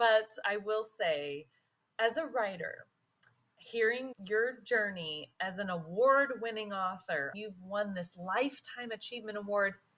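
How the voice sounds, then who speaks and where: This is an unremarkable speaking voice. The intonation is lively. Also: woman, fairly high pitch for a woman. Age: 40s. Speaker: guest podcast host and writer. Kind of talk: interview chat.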